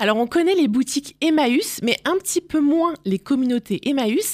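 A woman speaks at a moderate pace with very wide pitch swings. The sound is dry and close, with no echo. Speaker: radio interviewer. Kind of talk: interview.

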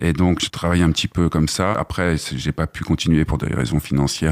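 Very deep, low male voice at a fairly quick pace, fairly even in intonation, dry and close with no echo, over noticeable background noise. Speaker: trainee, former actor. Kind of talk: radio interview. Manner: slightly hesitant.

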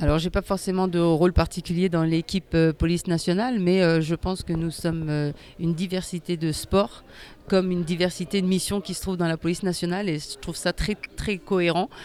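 A woman with a fairly low voice talks at a fairly quick clip in a fairly even tone over noticeable background noise. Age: 40s. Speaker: para sitting volleyball athlete. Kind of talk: interview. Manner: halting, many hesitations.

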